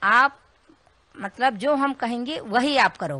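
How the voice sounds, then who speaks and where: At a very slow pace, a woman speaks with a bright, sharp tone and ordinary pitch variation, in a dry sound with no echo. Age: old. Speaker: ashram devotee alleging threats; woman giving her account to news reporter. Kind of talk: interview testimony. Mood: aggrieved, earnest complaint. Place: home room. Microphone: handheld.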